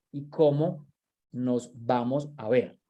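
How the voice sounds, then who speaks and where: A dark, mellow tone with ordinary pitch variation. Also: man. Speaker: workshop trainer. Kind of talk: online training lecture.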